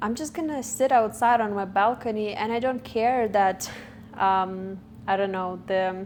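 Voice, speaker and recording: With a non-native accent, a woman talks at a fairly slow pace in a medium pitch, her pitch varying in an ordinary way. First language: not English. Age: 20s. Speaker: vlogger. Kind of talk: personal monologue. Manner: halting, self-correcting.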